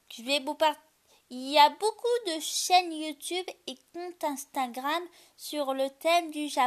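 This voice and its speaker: Speaking very slowly, a woman uses a high pitch and lively intonation, with big swings in loudness. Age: 20s. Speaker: youtuber and podcaster. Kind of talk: solo podcast monologue. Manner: halting.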